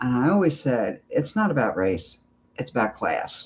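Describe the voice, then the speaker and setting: A man with an American accent speaks at a fairly slow pace. His tone is animated. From Philadelphia, US. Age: 60s. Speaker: political commentary YouTuber. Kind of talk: live stream commentary. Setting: home live stream. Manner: animated, opinionated.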